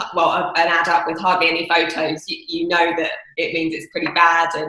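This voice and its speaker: A woman's fairly low, monotone, flat voice at a fairly quick pace, with noticeable background noise and audible room echo. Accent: southern English. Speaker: property investor. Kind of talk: interview.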